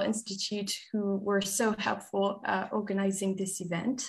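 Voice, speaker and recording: A woman's somewhat breathy, fairly high-pitched voice at a fairly slow pace, over a quiet background. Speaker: nonprofit staff moderator. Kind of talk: moderated live panel. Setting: live-streamed video call. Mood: friendly, smiling. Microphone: video call.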